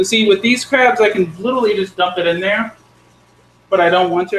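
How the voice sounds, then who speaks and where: Talking very fast at a high pitch, a man holds a fairly even intonation over noticeable background noise. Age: 20s. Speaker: pet hobbyist youtuber. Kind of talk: live stream tutorial chat. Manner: casual, rambling.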